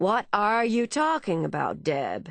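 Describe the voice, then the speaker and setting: In a put-on character voice, a female-sounding speaker goes at a fairly slow pace, raspy and at a medium pitch. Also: quiet background. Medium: read story. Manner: bluff, hearty.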